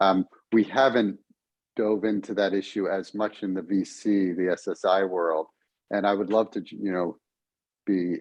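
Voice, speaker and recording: A plain, everyday voice with an American accent at a moderate pace. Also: man. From United States. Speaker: software project presenter. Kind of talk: online town hall discussion.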